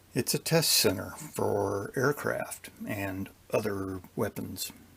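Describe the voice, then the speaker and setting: Over noticeable background noise, a man in an American accent talks at a very slow pace. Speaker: retired intelligence officer. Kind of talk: Q&A interview. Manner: terse, matter-of-fact.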